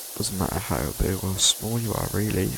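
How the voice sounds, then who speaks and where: Soft-spoken and fairly low-pitched, a man talks at a fairly quick pace against noticeable background noise. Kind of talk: low-energy sleep gaming commentary. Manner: low, muffled, soft-spoken.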